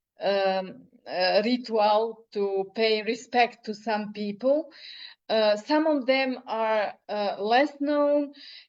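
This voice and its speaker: In a Serbian accent, a woman speaks at a very slow pace with a fairly high pitch and ordinary pitch variation. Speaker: poet. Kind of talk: interview. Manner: halting.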